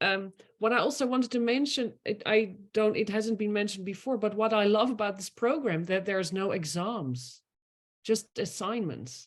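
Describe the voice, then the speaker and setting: The speaker has lively intonation and a Dutch accent. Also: woman, fairly high pitch for a woman, moderate pace. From Netherlands. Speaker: master student. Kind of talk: online admission talk. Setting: video call.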